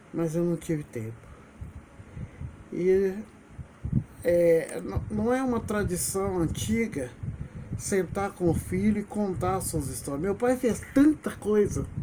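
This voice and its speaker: Very slow and broken by long, frequent pauses, the dark, mellow voice moves through very wide pitch swings. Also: man, high pitch for a man. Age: 70s. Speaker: retired teacher and video blogger. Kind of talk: personal memoir monologue.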